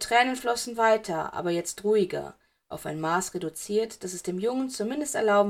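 Here is an unforced reading voice. The background is quiet.

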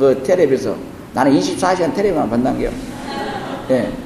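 Over noticeable background noise, a man talks in a space with audible room echo. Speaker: Buddhist monk teacher. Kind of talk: dharma lecture. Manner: halting, many fillers.

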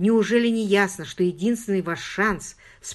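Just a natural reading voice

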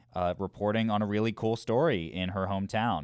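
A man's unremarkable speaking voice, fairly even in intonation, at a moderate pace. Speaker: college radio host. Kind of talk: casual chat.

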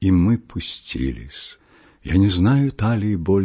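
This is an unforced reading voice. Its pitch varies in an ordinary way.

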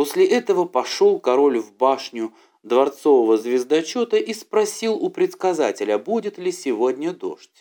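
This man's voice is fairly high in pitch, with a dark, mellow tone. He speaks at a moderate pace with big pitch swings.

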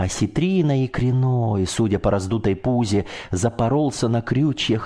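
Someone is reading aloud in a natural voice. The reading goes on throughout the clip.

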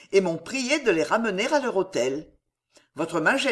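Quiet surroundings and a natural reading voice.

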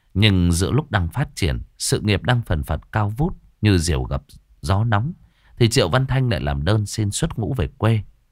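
Lively intonation in a natural reading voice.

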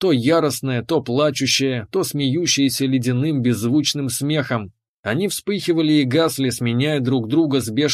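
Pitch moves in an ordinary way in an unforced reading voice. Little else is heard, as the background is quiet.

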